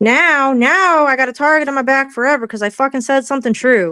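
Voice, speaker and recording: A woman's raised, projected voice, high-pitched with a bright, sharp, animated tone, ordinary pitch variation and a moderate pace, in a dry, close, very clean recording with no echo and a silent background. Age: 30s. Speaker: livestream commentator. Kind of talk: casual chat.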